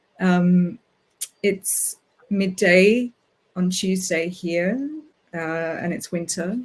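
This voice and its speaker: This is a woman speaking. She talks with an Australian accent. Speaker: writer. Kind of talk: casual talk before a reading. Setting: video call. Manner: hesitant, many fillers.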